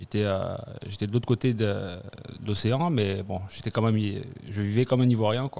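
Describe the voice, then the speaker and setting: At a moderate pace, a man speaks with a fairly low pitch, ordinary pitch variation and a dark, mellow tone. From Ivory Coast, Abidjan. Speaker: returnee from abroad. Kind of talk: casual chat. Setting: studio.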